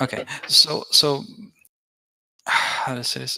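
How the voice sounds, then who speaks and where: A man with a non-native accent speaks at a medium pitch in a bright, sharp tone. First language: not English. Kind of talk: heated debate. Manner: halting, many repetitions.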